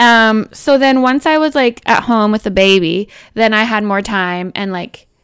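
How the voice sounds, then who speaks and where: In a Canadian accent, a woman with a normal speaking voice talks at a moderate pace and fairly high pitch, with ordinary pitch variation, on a very clean recording with a silent background. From Canadian prairies, Manitoba (small town near Winnipeg). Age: 30s. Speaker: stay-at-home mom and Instagram comedy creator. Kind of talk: interview. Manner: casual, many fillers like 'um' and 'like'.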